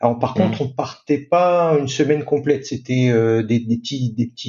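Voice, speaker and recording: A somewhat breathy man at a moderate pace. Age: 50s. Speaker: sailor. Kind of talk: interview. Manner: halting.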